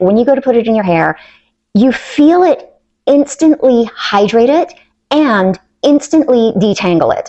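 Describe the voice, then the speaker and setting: A woman speaks at a high pitch and a fairly slow pace. Her tone is upbeat and enthusiastic, with very wide pitch swings. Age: 60s. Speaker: swim instructor. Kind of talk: product review talk to camera. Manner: upbeat, enthusiastic.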